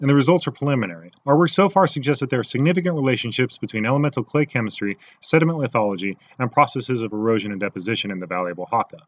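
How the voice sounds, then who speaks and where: A very fast man's voice at medium pitch with very wide pitch swings, in a dry, close sound with no echo over a quiet background. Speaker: graduate student presenting a final project. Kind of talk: recorded presentation narration. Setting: recording at home in backyard.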